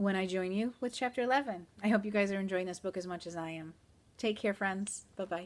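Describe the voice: Reading aloud plainly, the voice shows ordinary pitch variation.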